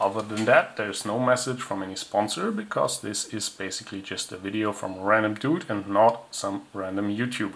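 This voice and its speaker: Words come at a fairly quick pace in a non-native accent. There are hardly any pauses. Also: man, fairly low pitch for a man. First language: not English. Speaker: tech hobbyist reviewer. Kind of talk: product review. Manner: casual, with hesitations.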